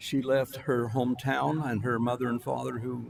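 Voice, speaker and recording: A man with an American accent talks in monotone, flat intonation at a medium pitch. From St. George, Utah. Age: 80s+. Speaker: local resident giving public comment. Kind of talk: public comment.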